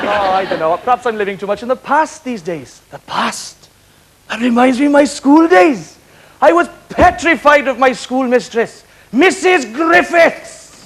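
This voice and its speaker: Here a man talks at a fairly slow pace. His pitch is extremely high, with very wide swings. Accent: Welsh. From West Wales, Carmarthen. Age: young. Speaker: comedian. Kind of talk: stand-up.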